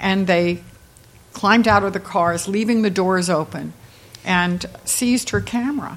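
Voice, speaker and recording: A woman in a normal speaking voice, medium pitch with ordinary pitch variation, at a fairly slow pace. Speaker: mystery novelist, former librarian. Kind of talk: author talk. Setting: stage with audience.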